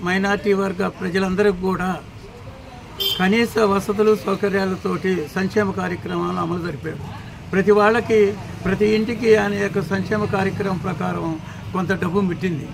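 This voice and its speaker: A man talks at a high pitch with fairly even intonation. Noticeable background noise runs under his voice. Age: old. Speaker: local party official. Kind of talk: street interview answer. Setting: outdoors.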